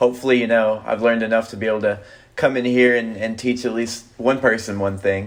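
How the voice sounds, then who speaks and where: A man's plain, everyday voice at medium pitch, fairly quick, in an American accent. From Texas. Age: 20s. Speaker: finance guest, banker. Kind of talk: casual podcast interview.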